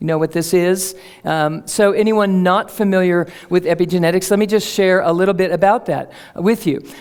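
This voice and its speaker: At a moderate pace, a woman with an unremarkable speaking voice holds a medium pitch, fairly even intonation and very even loudness. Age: 50s. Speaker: speaker on energy medicine. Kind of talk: public talk. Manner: conversational, with fillers.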